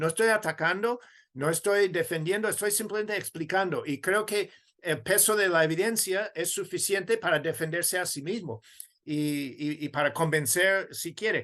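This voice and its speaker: At a moderate pace, a man speaks in a high pitch with a bright, sharp tone. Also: ordinary pitch variation. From United States. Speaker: theology professor and author. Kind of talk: interview.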